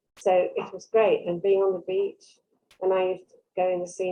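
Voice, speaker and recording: In an English Midlands accent, a woman talks at a medium pitch and a moderate pace. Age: 70s. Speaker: workshop participant. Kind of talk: casual chat.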